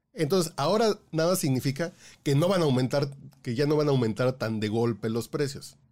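Fairly quick man's voice, fairly high in pitch, with lively intonation and an ordinary speaking voice. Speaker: podcast co-host. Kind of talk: casual news chat.

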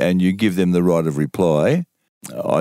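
A man with an Australian accent speaks at a moderate pace in a dark, mellow tone. The sound is dry and close, with no echo. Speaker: veteran sports journalist. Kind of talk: casual chat.

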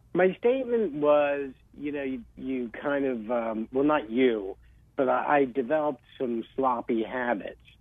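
Speaking at a fairly slow pace, a man talks with a New Jersey accent. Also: medium pitch for a man, ordinary pitch variation. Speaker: real estate agent. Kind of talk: casual chat.

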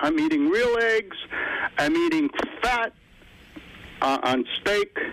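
The pace is very slow, with long, frequent pauses. Noticeable background noise runs underneath. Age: 70s. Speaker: caller. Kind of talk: call-in question. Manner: halting.

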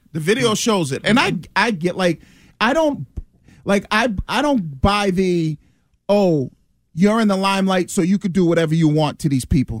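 Intonation is lively and loudness very even. Long pauses come often. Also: man, high pitch for a man, moderate pace. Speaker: former football player, sports pundit. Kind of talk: casual sports talk radio. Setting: radio studio.

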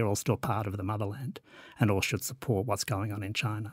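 The voice is somewhat breathy, captured in a very clean recording with a silent background and a dry, close sound with no echo. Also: man. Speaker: historian. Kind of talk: academic panel discussion.

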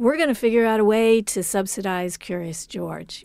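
A woman with an American accent talks at a fairly slow pace, her dark, mellow tone showing ordinary pitch variation. The recording is very clean, with a silent background. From Cambridge, Massachusetts. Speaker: novelist. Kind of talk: interview.

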